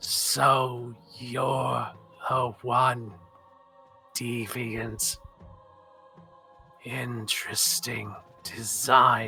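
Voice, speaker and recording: A man's raspy put-on character voice at a medium pitch and very slow pace, with faint music in the background. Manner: sadistic and cruel.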